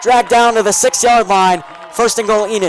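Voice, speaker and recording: Crowd noise fills the background as a man talks in a high pitch. His pitch varies in an ordinary way. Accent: American. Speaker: play-by-play sports commentator. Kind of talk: live commentary. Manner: fast.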